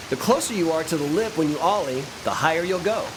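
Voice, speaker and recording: A man talks in an upbeat tone with lively intonation. Noticeable background noise is present. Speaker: professional skateboarder. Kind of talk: video game tutorial narration. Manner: upbeat, encouraging.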